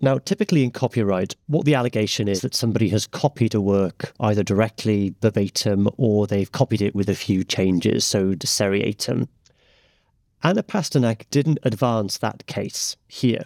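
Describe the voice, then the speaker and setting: An ordinary speaking voice comes from a man with a fairly low pitch and ordinary pitch variation, who talks at a moderate pace in a dry, close sound with no echo on a very clean recording with a silent background. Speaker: barrister. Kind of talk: expert discussion.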